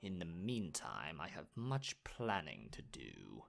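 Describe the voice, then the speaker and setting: Using a put-on character voice, a man speaks at a fairly slow pace in a very deep, low pitch with very wide pitch swings. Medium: audio drama. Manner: scornful, haughty.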